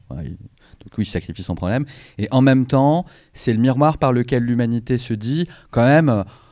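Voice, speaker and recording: A man's medium-pitched, dark and mellow voice at a moderate pace, with long, frequent pauses, big swings in loudness and ordinary pitch variation, on a very clean recording with a silent background. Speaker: science-fiction author. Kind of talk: panel discussion.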